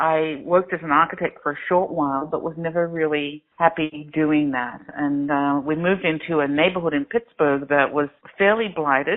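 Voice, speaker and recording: A woman's very deep, low voice at a moderate pace with fairly even intonation. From Australia. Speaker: crowdfunding platform founder. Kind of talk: interview. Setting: phone call.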